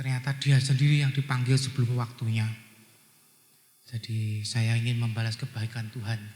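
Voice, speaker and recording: A man talks at a medium pitch. His intonation is monotone and flat. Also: moderate pace. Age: 60s. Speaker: guest preacher and businessman. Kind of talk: sermon. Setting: church.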